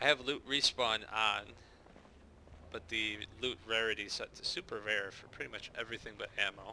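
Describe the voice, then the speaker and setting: Speaking in an American accent, a man uses a medium pitch and fairly even intonation, leaving long, frequent pauses. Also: moderate pace, big swings in loudness. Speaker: gaming YouTuber, server admin. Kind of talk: gameplay commentary. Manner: casual.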